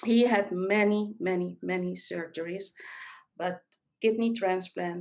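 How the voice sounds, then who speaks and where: A woman speaks at a medium pitch and a fairly slow pace. Her intonation stays fairly even. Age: 50s. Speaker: caregiver. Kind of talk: podcast interview. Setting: podcast interview. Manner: halting.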